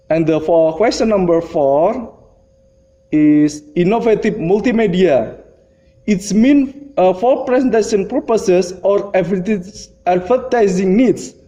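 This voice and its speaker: Over noticeable background noise, the speech moves at a fairly slow pace with ordinary pitch variation and very even loudness. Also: man, high pitch for a man. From Indonesia. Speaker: lecturer. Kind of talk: lecture. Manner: halting.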